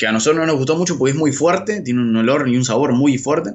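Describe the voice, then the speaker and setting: This man talks at a very fast pace with an Argentine accent. His pitch is fairly high, with ordinary pitch variation. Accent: Argentine Spanish (Rioplatense). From Argentina. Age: 30s. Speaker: journalist living abroad on working holiday visa. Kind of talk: interview. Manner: halting, frequent word repetitions.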